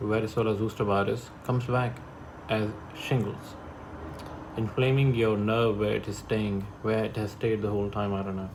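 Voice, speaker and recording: Over noticeable background noise and audible room echo, a man speaks at a moderate pace with long, frequent pauses, a fairly low pitch and monotone, flat intonation. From Pakistan. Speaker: vlogger sharing illness experience. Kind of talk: personal testimony vlog. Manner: unscripted, halting.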